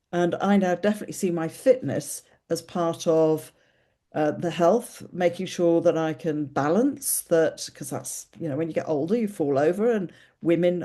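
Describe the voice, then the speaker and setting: Over a quiet background, a woman with an English accent speaks at a moderate pace in a fairly low pitch, her dark, mellow tone showing ordinary pitch variation. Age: 60s. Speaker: podcast host. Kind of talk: casual chat.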